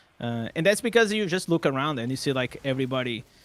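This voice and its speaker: With a non-native accent, a man speaks in a dry, close sound with no echo. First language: not English. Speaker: gaming content creator. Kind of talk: casual chat. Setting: live stream. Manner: loud; animated.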